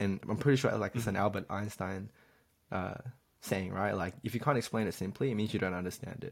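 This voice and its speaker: A man with a plain, everyday voice talks fairly quickly, his pitch fairly low. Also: ordinary pitch variation. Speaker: podcast host. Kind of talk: casual podcast chat.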